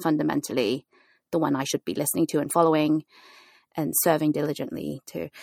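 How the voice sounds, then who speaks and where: Woman with a very deep, low pitch, vocal fry, ordinary pitch variation and a very fast pace, on a very clean recording with a silent background and a dry, close sound with no echo. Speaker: podcast host and pastor. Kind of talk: casual chat. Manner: animated.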